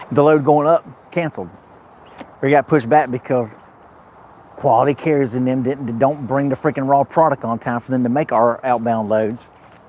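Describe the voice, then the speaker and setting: In an animated tone, a man speaks at medium pitch and a moderate pace, the sound dry and close with no echo but with noticeable background noise. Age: 50s. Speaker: truck driver vlogger. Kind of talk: casual live vlog chat. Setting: truck repair shop. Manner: repetitive, animated.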